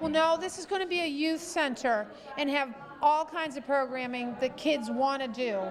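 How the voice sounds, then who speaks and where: Speaking in a New England accent, a woman with a high pitch and ordinary pitch variation keeps a moderate pace amid noticeable background noise and audible room echo. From Massachusetts (Carver area). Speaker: youth center board chair. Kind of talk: casual interview.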